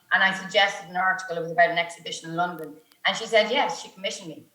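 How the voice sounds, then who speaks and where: In an Irish accent, a woman talks at a medium pitch with audible room echo. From Ireland, County Meath. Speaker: journalist. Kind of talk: panel discussion. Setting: video call.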